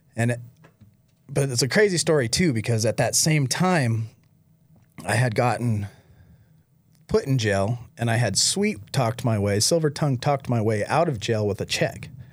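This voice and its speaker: A man speaks at medium pitch with lively intonation and very even loudness, sounding somewhat breathy. He leaves long, frequent pauses. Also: moderate pace, very clean recording, silent background. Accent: American. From Michigan. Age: 40s. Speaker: recovering addict, nonprofit founder. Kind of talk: testimony.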